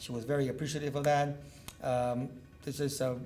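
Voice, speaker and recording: Someone with a Cuban accent speaks at a moderate pace amid audible room echo. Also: man. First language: Spanish. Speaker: neurosurgeon. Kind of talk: medical lecture. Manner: loud.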